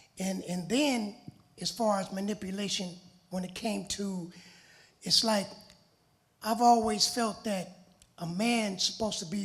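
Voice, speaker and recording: Fairly even in intonation, a man with a high pitch talks at a moderate pace. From Los Angeles, California. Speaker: interviewee sharing personal experience. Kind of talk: testimony.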